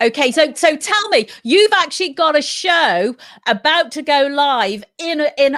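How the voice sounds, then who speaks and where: Speaking fairly slowly in an English accent, a woman with a high pitch swings her voice very widely and hardly pauses at all. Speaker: community radio host. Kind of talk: live radio chat. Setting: radio show from home.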